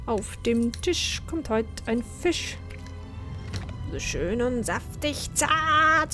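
Over loud music in the background, a put-on character voice with a fairly high pitch goes at a very slow pace with long, frequent pauses.

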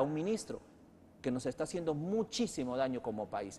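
A man speaks with lively intonation, keeping a moderate pace. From Peru. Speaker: TV news host. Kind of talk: political interview. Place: studio. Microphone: lapel.

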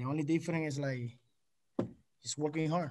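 Over noticeable background noise, a man talks at a fairly quick pace with monotone, flat intonation. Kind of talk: interview answer. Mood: happy, relaxed. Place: meeting room. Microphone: video call.

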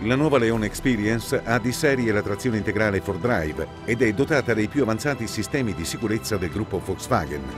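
Over clear background music, a man with a fairly low pitch talks at a fairly quick pace in a dry sound with no echo. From Italy. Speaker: voice actor. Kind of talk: TV commercial read. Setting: studio. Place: booth. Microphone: studio mic.

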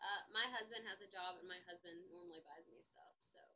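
A woman with an American accent speaks at a moderate pace in a bright, sharp tone with ordinary pitch variation. Light background noise can be heard. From US South. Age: 20s. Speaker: service dog vlogger; vlogger. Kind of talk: casual livestream chat; casual vlog chat. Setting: livestream while doing makeup. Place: home room. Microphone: webcam.

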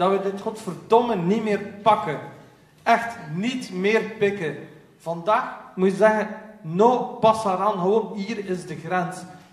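In a West Flemish accent, a man speaks at a high pitch and a very slow pace, with audible room echo. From West Flanders, Belgium. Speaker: panel moderator, researcher; panel moderator. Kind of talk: moderated panel discussion. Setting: stage with audience. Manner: animated. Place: hall. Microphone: camera far.

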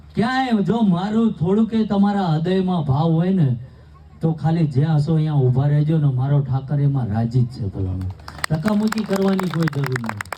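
Over noticeable background noise, a man with a fairly high pitch speaks with very wide pitch swings. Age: 40s. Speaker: spiritual speaker, anti-alcohol campaigner. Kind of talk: public speech at community wedding.

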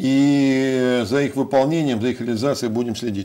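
A man is talking. His intonation stays fairly even. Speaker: city mayor. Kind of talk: interview. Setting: studio. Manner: halting. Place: studio.

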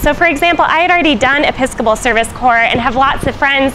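A high-pitched woman talks at a fairly quick pace with ordinary pitch variation over noticeable background noise. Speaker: church missionary reporting. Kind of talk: casual report to camera. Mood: cheerful, smiling. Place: street. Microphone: lapel.

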